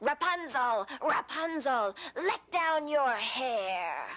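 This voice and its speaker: A very slowly paced, put-on character voice. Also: woman, high pitch for a woman. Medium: read story.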